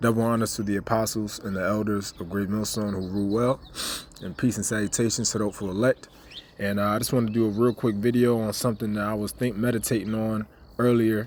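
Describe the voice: Fast and fairly low, a man's voice carries a slightly mellow tone with little pitch movement.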